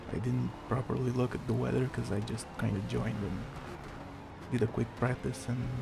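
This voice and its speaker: Against noticeable background noise, a man speaks quietly at a moderate pace. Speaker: gaming YouTuber. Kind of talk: gameplay commentary.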